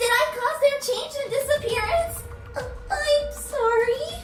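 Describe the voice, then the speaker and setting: An extremely high-pitched put-on character voice at a fairly slow pace. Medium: machinima. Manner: hesitant, stammering.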